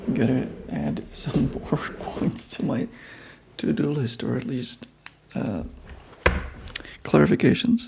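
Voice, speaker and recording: Very slow speech with long, frequent pauses and noticeable background noise. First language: Czech. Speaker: comic artist streamer. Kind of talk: casual live-stream commentary while drawing. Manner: casual, thinking aloud.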